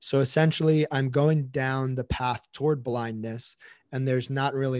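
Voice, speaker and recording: On a very clean recording with a silent background and a dry, close sound with no echo, a man speaks in an ordinary speaking voice at a moderate pace with ordinary pitch variation. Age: 20s. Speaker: physical therapist. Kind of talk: interview testimony.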